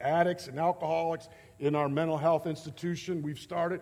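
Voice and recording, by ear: A man speaks at a moderate pace with a fairly high pitch. His intonation stays fairly even.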